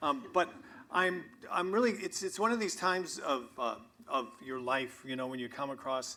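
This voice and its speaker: There is audible room echo as a man speaks at a moderate pace in a high pitch. His tone is bright and sharp, with very wide pitch swings. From New Hampshire, US. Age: 60s. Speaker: tree-ring scientist. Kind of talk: public lecture. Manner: casual, joking.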